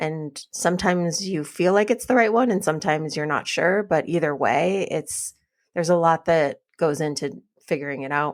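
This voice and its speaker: A woman speaks in an ordinary speaking voice, fairly low in pitch with ordinary pitch variation. Her pace is moderate, and the recording is very clean with a silent background. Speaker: podcast co-host, couples therapist. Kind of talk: casual podcast conversation.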